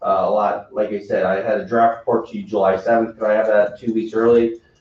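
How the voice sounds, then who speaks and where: A man talks at a fairly quick pace. His voice sits at a medium pitch. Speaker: planning consultant. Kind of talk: public meeting presentation. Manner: halting.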